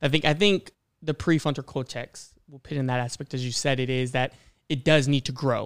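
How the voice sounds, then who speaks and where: This man has a plain, everyday voice, fairly high in pitch, with fairly even intonation and a fairly quick pace. The recording is very clean with a silent background and a dry, close sound with no echo. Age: 20s. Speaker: podcast guest giving a male perspective. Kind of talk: casual chat. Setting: studio, sharing a mic with a host.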